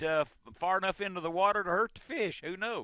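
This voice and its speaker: A man's high-pitched, raised and projected voice, bright and sharp in tone, at a fairly quick pace, with a dry, close sound and no echo. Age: 70s. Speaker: radio host. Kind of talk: call-in radio chat. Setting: radio studio.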